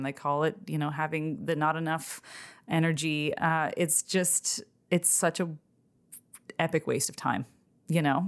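Fairly low in pitch and fairly even in intonation, this woman has an unremarkable speaking voice. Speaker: food company founder. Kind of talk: interview. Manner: casual, filler-heavy.

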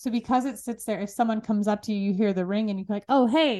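A woman speaks at a fairly high pitch with ordinary pitch variation against a quiet background. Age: 30s. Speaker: entrepreneur and marketing founder. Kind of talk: casual interview. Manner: energetic.

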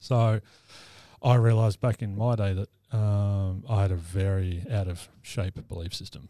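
Speaking with an Australian accent, a man uses a fairly low pitch, a dark, mellow tone and fairly even intonation at a fairly slow pace. The recording is very clean, dry and close, with a silent background and no echo. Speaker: mental health practitioner and army veteran. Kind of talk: casual interview chat. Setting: studio.

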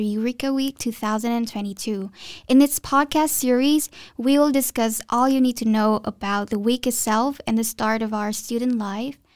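In a very clean recording with a silent background, a woman uses a normal speaking voice, fairly high, with fairly even intonation at a moderate pace. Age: 20s. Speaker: university student podcast host. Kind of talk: casual chat.

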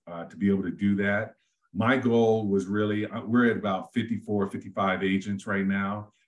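A man's fairly low voice with an American accent, fairly slow and monotone, with flat intonation. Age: 50s. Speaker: real estate agent, former police officer and veteran. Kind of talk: interview conversation.

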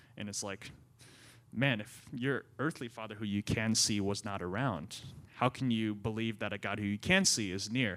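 A bright, sharp tone at a moderate pace with ordinary pitch variation. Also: man. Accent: American. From Central Maryland, US. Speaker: young adults ministry assistant. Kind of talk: interview testimony.

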